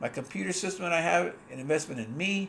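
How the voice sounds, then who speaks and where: A man with a fairly high pitch and vocal fry talks at a moderate pace with lively intonation. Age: 60s. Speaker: online business coach. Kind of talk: livestream monologue. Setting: livestream at desktop computer. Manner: halting.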